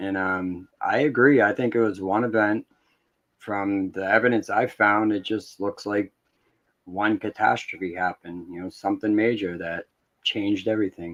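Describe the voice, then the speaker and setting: A man's fairly low voice at a moderate pace, with fairly even intonation, a dry, close sound with no echo and a quiet background. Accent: Boston. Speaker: YouTuber, explorer. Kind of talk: casual chat. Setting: live stream.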